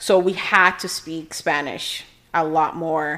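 A woman talks with a Portuguese accent at a fairly low pitch. Her intonation stays flat and monotone. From Brazil (Rio de Janeiro). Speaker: immigration attorney. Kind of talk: casual chat.

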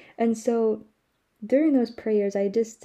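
Speaking at a fairly quick pace, a woman has a dark, mellow tone and fairly even intonation. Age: young. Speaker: podcast host. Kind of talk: casual monologue. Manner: frequent laughter.

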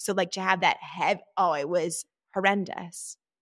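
The recording is very clean, with a silent background. A woman speaks in an ordinary speaking voice at a medium pitch with fairly even intonation. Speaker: podcast host. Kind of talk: casual chat.

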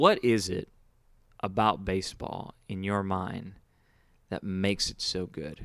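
A man with a very deep, low voice and an American accent talks at a fairly slow pace with fairly even intonation. He leaves long, frequent pauses. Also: big swings in loudness. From Houston, Texas. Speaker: podcast host. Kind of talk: casual interview.

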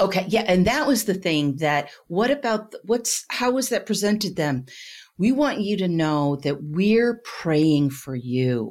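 Very wide pitch swings run through fairly slow speech in a very clean recording with a silent background. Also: woman, medium pitch for a woman. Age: 50s. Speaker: former pastor. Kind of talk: casual interview.

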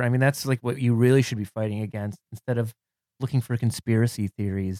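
Recorded in a dry, close sound with no echo, a man with an American accent and a medium pitch speaks with fairly even intonation. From Cleveland, Ohio. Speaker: comedian. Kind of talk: casual chat.

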